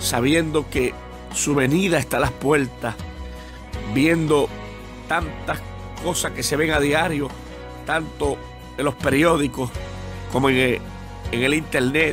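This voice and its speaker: A man's fairly high voice at a fairly slow pace, with long, frequent pauses, fairly even intonation and music in the background. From Puerto Rico. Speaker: evangelist preacher. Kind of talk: sermon.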